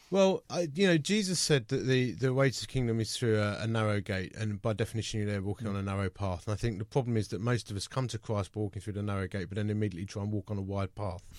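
Here is a man with a British accent and a fairly low pitch. He talks at a very fast pace. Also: ordinary pitch variation, hardly any pauses. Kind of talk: radio interview. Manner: conversational.

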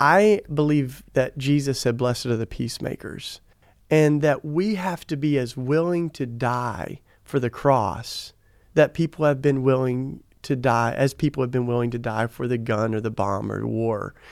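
Speaking with an American accent, a man uses a medium pitch and a moderate pace on a very clean recording with a silent background. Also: ordinary pitch variation. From US South. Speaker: activist and author. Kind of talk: interview conversation. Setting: studio, in person.

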